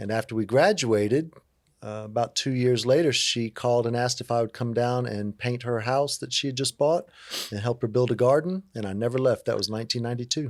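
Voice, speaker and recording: A man with an American accent has a normal speaking voice at medium pitch with ordinary pitch variation. He talks at a fairly quick pace on a very clean recording with a silent background. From coastal Virginia (Hampton). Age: 50s. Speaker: community outreach worker. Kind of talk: interview. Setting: studio discussion table. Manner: relaxed, conversational with fillers.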